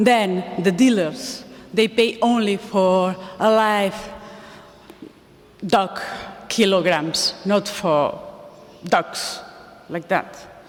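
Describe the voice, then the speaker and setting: Over noticeable background noise, the speech comes at a very slow pace in a Spanish accent, with long, frequent pauses. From Spain. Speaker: animal welfare campaigner. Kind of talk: conference talk. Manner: halting.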